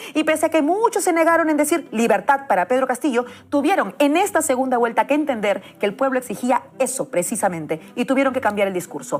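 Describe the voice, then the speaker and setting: A woman with a Peruvian accent talks at a very fast pace with hardly any pauses. Her high voice swings very widely in pitch. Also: very even loudness. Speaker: political commentator. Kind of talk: political speech. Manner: impassioned.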